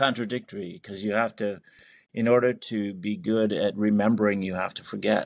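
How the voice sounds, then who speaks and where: A man with a fairly low pitch talks at a moderate pace, his intonation fairly even. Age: 60s. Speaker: theatre and film writer-director. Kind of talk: interview. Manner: halting.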